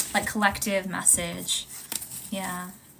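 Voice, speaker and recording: Talking at a very slow pace, a woman is heard over noticeable background noise. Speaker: tarot reader. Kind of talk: live stream tarot reading. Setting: live stream.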